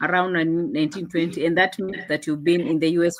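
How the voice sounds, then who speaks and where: In a Kenyan accent, a woman speaks at a fairly low pitch with fairly even intonation. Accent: Kenyan, unchanged. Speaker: online show host. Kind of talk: interview.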